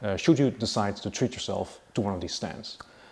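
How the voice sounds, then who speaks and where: A man with a Dutch accent at a fairly quick pace. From Netherlands. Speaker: motorcycle YouTuber and distributor. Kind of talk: casual video presentation.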